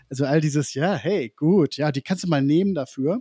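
A man's voice with a dark, mellow tone, pitched fairly high for a man. He talks at a fairly quick pace with ordinary pitch variation, and the sound is dry and close with no echo. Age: 40s. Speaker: agency founder, digitalization consultant. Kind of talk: casual interview.

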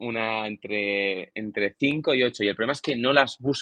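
This man has a normal speaking voice. His pitch sits in the medium range and varies in an ordinary way. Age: 20s. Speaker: long drive golfer and physiotherapist. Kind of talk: interview.

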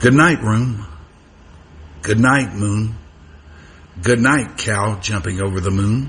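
Over noticeable background noise, a man speaks at a very slow pace and fairly low pitch, with long, frequent pauses. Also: ordinary pitch variation. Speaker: radio host. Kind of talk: radio dj patter. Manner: warm, easygoing, chatty, upbeat.

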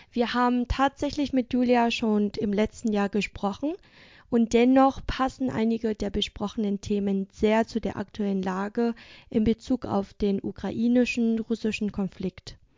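This is a normal speaking voice with fairly even intonation. The pace is fairly slow. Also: woman, fairly high pitch for a woman. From Vietnam. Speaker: podcast host. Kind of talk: scripted intro and interview. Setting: video call.

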